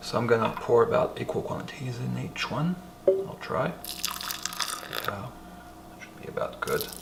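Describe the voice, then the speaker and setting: Whispering at a moderate pace, a man's voice shows big swings in loudness amid noticeable background noise and audible room echo. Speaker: home cooking video host. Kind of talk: cooking tutorial. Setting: at home, bedroom then kitchen at night. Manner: whispering in the kitchen; casual, hesitant with fillers.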